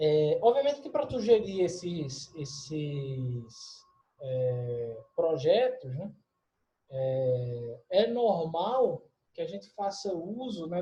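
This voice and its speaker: Very wide swings in pitch run through a tone that is dark and mellow. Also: man. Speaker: university lecturer. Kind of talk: lecture. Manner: hesitant, many fillers.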